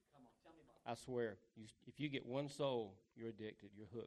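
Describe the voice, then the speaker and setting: A man at medium pitch and moderate pace, with ordinary pitch variation. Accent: Southern US. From US South. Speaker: street evangelist. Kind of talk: testimony.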